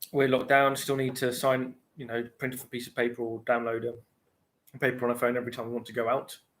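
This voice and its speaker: Delivered at a very fast pace in a British accent, the speech has long, frequent pauses and big swings in loudness. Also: man. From UK. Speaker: pipe smoking livestreamer, bar and restaurant worker. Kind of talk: casual livestream chat. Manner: rambling, hesitant with fillers. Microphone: laptop, unstable internet with lag.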